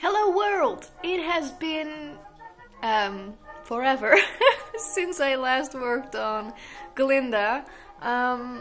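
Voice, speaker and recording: A woman's high-pitched voice at a very slow pace, with long, frequent pauses and faint music in the background. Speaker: costume maker vlogger. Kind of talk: casual vlog chat. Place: home room. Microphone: phone near.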